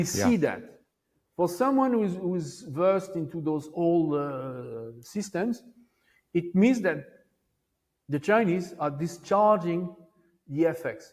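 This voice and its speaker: A man with a French accent, high pitch and lively intonation, at a very slow pace with long, frequent pauses. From France. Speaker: Wall Street veteran, monetary historian. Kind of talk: interview answer.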